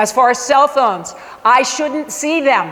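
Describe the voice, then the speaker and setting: Over noticeable background noise, a woman speaks in an animated tone at a high pitch. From Michigan. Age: 60s. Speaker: science teacher. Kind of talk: parent information presentation.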